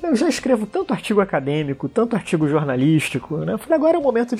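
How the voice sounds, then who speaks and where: Noticeable background noise sits under a man speaking at a very fast pace with very wide pitch swings. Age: 40s. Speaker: international relations professor. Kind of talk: interview about a trip.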